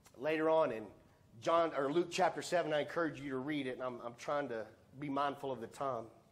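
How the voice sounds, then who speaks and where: The man's pitch is fairly high, with ordinary variation. He speaks at a fairly quick pace. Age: 50s. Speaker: pastor. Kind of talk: Sunday sermon, conversational preaching with call-and-response. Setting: church service with congregation. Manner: earnest, plain-spoken, building to emphatic appeals; informal, with repeated 'let's be honest' asides. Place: church. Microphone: headset.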